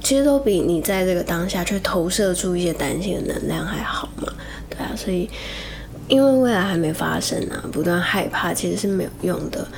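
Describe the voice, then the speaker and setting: A woman's fairly low voice with lively intonation, amid noticeable background noise and audible room echo. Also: moderate pace. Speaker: podcast host and actress. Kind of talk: spiritual talk.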